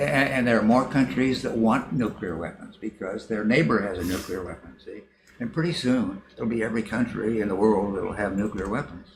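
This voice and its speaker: Over noticeable background noise, a man speaks at a fairly quick pace. His voice is fairly low, with ordinary pitch variation. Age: 80s+. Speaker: professor. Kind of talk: interview. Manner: halting.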